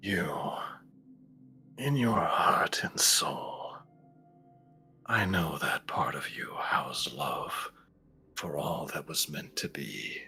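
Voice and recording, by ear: A man whispers in a put-on character voice. He goes at a very slow pace with long, frequent pauses.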